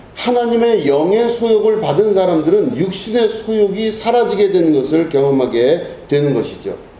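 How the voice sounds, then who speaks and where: A man speaks at a moderate pace with lively intonation. The room echo is audible. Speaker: pastor. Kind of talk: sermon.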